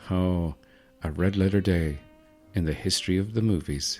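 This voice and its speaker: With music in the background, a man with a very deep, low pitch speaks at a moderate pace, using ordinary pitch variation. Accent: Irish Midlands. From Ireland. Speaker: podcaster. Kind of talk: sleep podcast about movies. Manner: soothing, witty.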